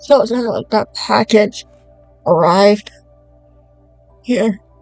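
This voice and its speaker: Very slow speech with ordinary pitch variation and music in the background. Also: woman, fairly high pitch for a woman. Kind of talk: product unboxing review vlog. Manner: casual talk to camera.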